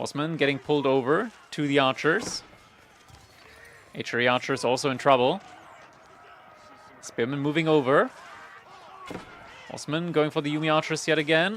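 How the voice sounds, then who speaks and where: A man's fairly high-pitched voice with ordinary pitch variation and long, frequent pauses, set against noticeable background noise. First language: not English. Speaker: esports caster. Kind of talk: live commentary. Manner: fast, play-by-play.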